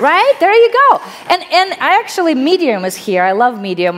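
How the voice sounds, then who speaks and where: Against noticeable background noise, a woman with a Russian accent speaks in an animated tone at a moderate pace, her pitch swinging very widely. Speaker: author and panelist. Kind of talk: panel discussion. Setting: stage with audience.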